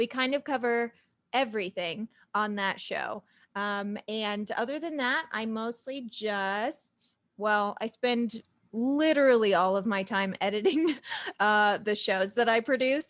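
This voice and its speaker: On a very clean recording with a silent background, a woman with an American accent speaks at a fairly slow pace, her pitch fairly high with ordinary variation. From Southern Illinois, US. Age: 30s. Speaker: podcast host and producer. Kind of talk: casual interview self-introduction.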